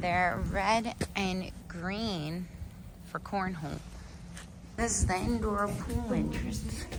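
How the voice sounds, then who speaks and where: Room echo can be heard around the voice of a woman as she talks. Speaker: travel vlogger. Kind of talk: casual vlog narration. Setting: walking outdoors and around a hotel. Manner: whispering.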